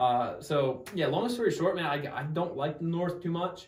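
Lively in intonation, a man speaks with an American accent. His voice is somewhat breathy. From New Jersey. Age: 20s. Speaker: Marine and podcast host. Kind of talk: casual interview chat.

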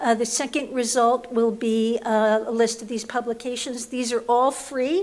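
Speaking in an American accent at a moderate pace with hardly any pauses, a woman keeps a high pitch and fairly even intonation. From New York, the Bronx. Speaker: labor relations professor. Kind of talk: panel presentation. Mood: light humor, engaged. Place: hall. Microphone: podium.

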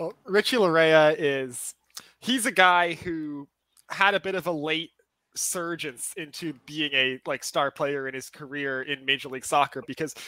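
The tone is bright and sharp, with ordinary pitch variation, a dry sound free of echo and a quiet background. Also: man. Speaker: remote guest. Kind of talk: interview answer. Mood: enthusiastic praise of player. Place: home room. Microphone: webcam.

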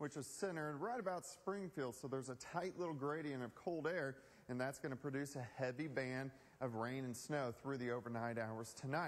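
Speaking at a moderate pace, a man with a fairly high pitch uses lively intonation. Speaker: television chief meteorologist. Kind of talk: TV weather forecast broadcast. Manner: conversational, on-air. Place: studio. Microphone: lapel.

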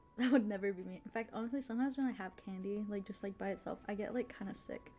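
Over music in the background, a woman with a fairly high pitch and a cheerful tone talks at a very fast pace with fairly even intonation. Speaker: vtuber streamer. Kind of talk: live mukbang eating ASMR, casual chatty talk. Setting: live stream with chat, eating food. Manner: casual, chatty, cheerful. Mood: chatty, upbeat, giggly. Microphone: studio mic.

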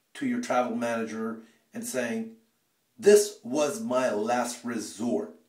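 There is audible room echo as a man talks over a quiet background. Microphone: phone near.

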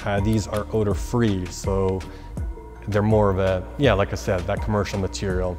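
Male speech over clearly audible background music. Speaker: presenter. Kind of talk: product explainer talk. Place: gym. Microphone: lapel.

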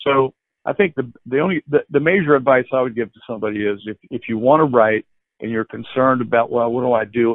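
A man with an American accent talks very fast, his medium pitch rising and falling in an ordinary way. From northern West Virginia. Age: 70s. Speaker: author, wine and food writer. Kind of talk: interview. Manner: halting, many fillers.

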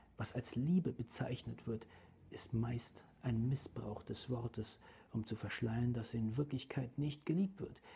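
The tone is calm and the pace very slow. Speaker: narrator reading aloud. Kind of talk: audiobook reading aloud of a philosophical text, ASMR style. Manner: slow, calm, soft-spoken, measured; formal, even, literary delivery.

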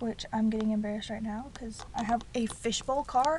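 A woman at a very fast pace with fairly even intonation, dry sound with no echo, and noticeable background noise. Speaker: student vlogger. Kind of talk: casual vlog chat. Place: car. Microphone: phone near.

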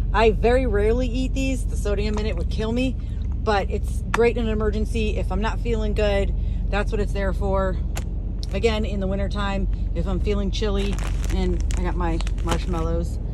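Noticeable background noise sits under a woman speaking at a moderate pace, and the sound is dry with no echo. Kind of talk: casual vlog chat. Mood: relaxed, friendly storytelling. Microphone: phone near.

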